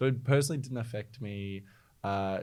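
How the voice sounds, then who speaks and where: With ordinary pitch variation, a man talks in an Australian accent. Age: 20s. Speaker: startup founder. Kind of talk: interview.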